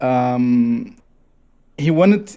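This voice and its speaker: A man's fairly high voice, dark and mellow in tone, with a Brazilian Portuguese accent. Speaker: gamer. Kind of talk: casual chat. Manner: halting.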